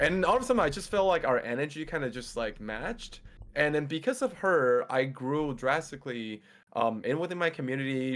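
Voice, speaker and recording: In a very clean recording with a silent background, a man speaks with a Mandarin accent at a fairly high pitch. His pace is fairly quick and his intonation lively. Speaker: Twitch streamer and fitness coach. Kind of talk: casual chat.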